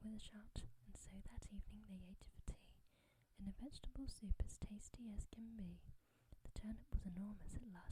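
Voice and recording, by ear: In a natural voice, the speaker reads aloud.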